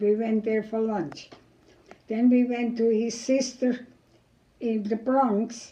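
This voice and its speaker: A woman speaks very slowly in a German accent, her pitch fairly high and her intonation fairly even. Her tone is dark and mellow. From Germany. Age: 80s+. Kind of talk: interview answer.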